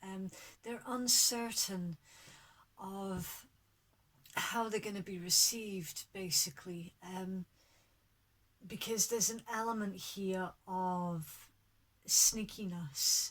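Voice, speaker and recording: Very slow, medium-pitched speech from a woman, with long, frequent pauses and fairly even intonation. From Scotland (Fife). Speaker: tarot reader. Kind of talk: tarot reading to camera. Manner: casual, hesitant.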